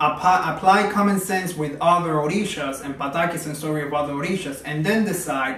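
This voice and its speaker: A man's fairly high voice at a moderate pace, with ordinary pitch variation, noticeable background noise and audible room echo. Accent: Spanish. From Cuba. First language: Spanish. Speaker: religious practitioner and teacher. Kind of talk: video monologue. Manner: stuttering today.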